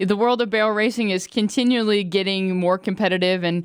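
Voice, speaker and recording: Her plain, everyday voice sits at a medium pitch with ordinary pitch variation as the woman speaks at a moderate pace on a very clean recording with a silent background. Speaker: podcast host. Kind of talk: podcast interview questions.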